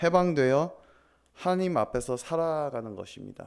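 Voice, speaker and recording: A man with a non-native accent and ordinary pitch variation, in a very clean recording with a silent background. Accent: non-native Korean. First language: English (speaking Korean). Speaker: pastor. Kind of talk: sermon. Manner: halting.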